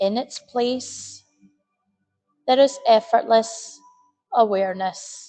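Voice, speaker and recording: Over music in the background, a woman with a fairly high voice speaks very slowly with long, frequent pauses and lively intonation. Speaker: meditation guide. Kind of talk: guided meditation. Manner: slow, soft-spoken.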